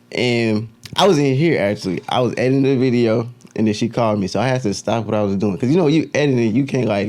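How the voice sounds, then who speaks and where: Against noticeable background noise, a man talks very fast with ordinary pitch variation. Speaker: podcast host. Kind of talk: casual chat.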